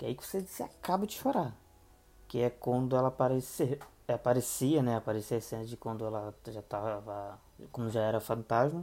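A man with a dark, mellow tone and medium pitch talks at a fairly quick pace, his loudness swinging widely. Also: ordinary pitch variation. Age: 20s. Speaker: podcaster reviewing TV dramas. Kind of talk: solo podcast review. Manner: hesitant, many fillers.

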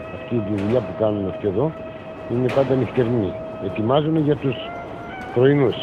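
Noticeable background noise surrounds a man who speaks with long, frequent pauses. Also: medium pitch for a man, ordinary pitch variation, moderate pace. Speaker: former coal miner. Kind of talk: testimony. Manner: halting.

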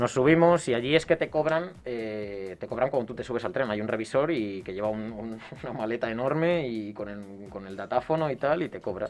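Music plays behind a man who speaks at a moderate pace with hardly any pauses. His intonation is lively and his loudness swings widely. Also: medium pitch for a man. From Spain, Castile (Salamanca/Valladolid). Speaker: former exchange student. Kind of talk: casual chat.

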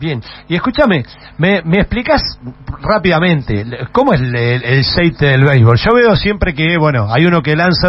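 A man's fairly high voice with lively intonation, at a fairly quick pace over noticeable background noise. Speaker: radio host. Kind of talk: interview.

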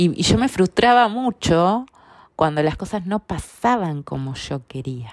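A woman at a fairly low pitch with very wide pitch swings, speaking at a fairly slow pace in a dry, close sound with no echo. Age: 40s. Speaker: personal growth podcaster. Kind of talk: personal testimony monologue. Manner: hesitant, many fillers and repetitions.

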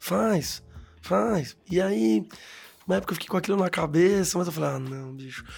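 Over music in the background, a man's fairly high voice swings very widely in pitch. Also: moderate pace. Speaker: comedian. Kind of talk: casual chat.

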